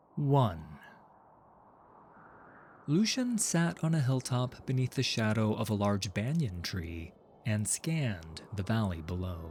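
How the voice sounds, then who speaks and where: A somewhat breathy voice moves at a very slow pace, with long, frequent pauses. Its pitch swings very widely. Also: man, fairly low pitch for a man. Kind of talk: audio drama narration.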